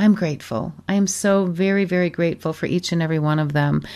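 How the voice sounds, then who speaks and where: Over a quiet background, a woman with an American accent speaks at a moderate pace with lively intonation and medium pitch. It is a normal speaking voice. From Michigan, US. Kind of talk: radio show hosting, devotional talk. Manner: warm, effusive.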